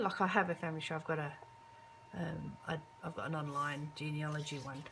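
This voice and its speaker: Moderate-paced speech with audible room echo and music in the background. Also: woman. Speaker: craft video creator. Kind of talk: casual show-and-tell. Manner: hesitant, many fillers.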